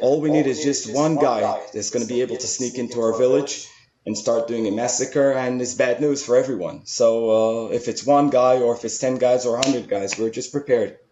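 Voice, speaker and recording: A man with a medium-pitched voice talks at a moderate pace with fairly even intonation and hardly any pauses, over noticeable background noise. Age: 40s. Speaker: soldier. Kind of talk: interview.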